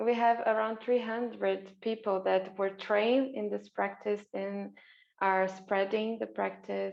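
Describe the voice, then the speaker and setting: This woman talks at a fairly slow pace. She has a non-native accent. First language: not English. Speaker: interviewer and game facilitator. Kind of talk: interview. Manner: halting.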